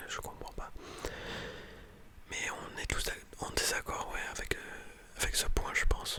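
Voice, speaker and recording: A man whispers at a very slow pace with long, frequent pauses. Noticeable background noise runs underneath. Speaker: ASMR content creator and student. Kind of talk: whispered ASMR reading and commentary on a scientific article. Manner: whispered, soft-spoken, casual.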